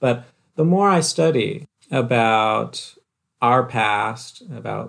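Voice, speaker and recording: An unremarkable speaking voice belongs to a man talking at a medium pitch with ordinary pitch variation. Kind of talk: casual chat.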